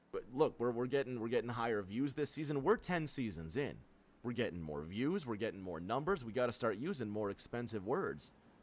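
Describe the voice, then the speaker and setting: A man talks at a fairly quick pace, his medium pitch swinging very widely. His tone is animated, with vocal fry. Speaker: sim racing commentator. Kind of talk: live commentary.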